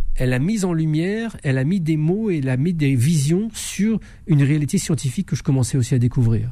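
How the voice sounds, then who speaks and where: A man talks at a fairly quick pace in a dark, mellow tone that is somewhat breathy. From France. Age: 50s. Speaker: investigative journalist and author. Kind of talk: radio interview.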